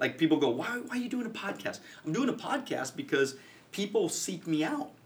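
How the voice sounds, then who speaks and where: A man talks in an animated tone at a very fast pace, with very wide pitch swings. There is noticeable background noise. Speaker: financial services coach and podcaster. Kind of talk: casual interview. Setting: studio.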